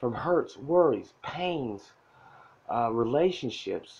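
A man with a fairly high pitch and lively intonation at a fairly slow pace. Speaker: motivational self-help creator. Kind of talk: direct-to-camera motivational talk. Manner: quiet, not loud. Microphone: phone near.

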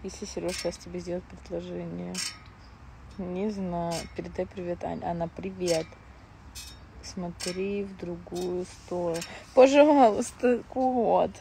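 A woman speaks very slowly with long, frequent pauses. Her voice is dry with no echo, over light background noise. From Moscow, Russia; Russia. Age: 20s. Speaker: reality TV personality; blogger. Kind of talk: live stream chat with viewers. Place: garden. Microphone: lapel.

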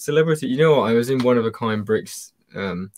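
Against a quiet background, a man talks at a fairly quick pace. His intonation is lively. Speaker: guest on stream, Lego fan; guest. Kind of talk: casual chat. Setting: video call. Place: home room.

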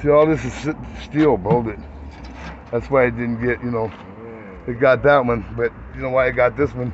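A man speaks at a moderate pace. The sound is dry with no echo, with light background noise. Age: 60s. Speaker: RV owner, former motorcycle builder. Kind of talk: casual walkthrough talk to camera. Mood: upset, frustrated, informal. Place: street. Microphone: phone near.

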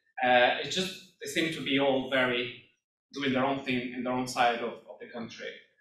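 At a moderate pace and with fairly even intonation, a man speaks in a plain, everyday voice. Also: medium pitch for a man. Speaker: family caregiver and awareness advocate. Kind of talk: conference presentation. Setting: stage with audience.

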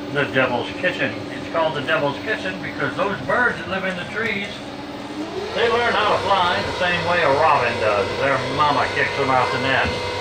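Over loud background noise, the man talks at a moderate pace. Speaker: boat tour guide. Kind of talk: tour guide narration. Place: boat.

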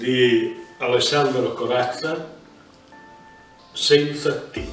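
A man with a fairly high pitch speaks at a very slow pace. Faint music plays in the background, and there is audible room echo. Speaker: dialect poet. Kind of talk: poetry reading. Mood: tender, melancholic. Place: home room. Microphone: webcam.

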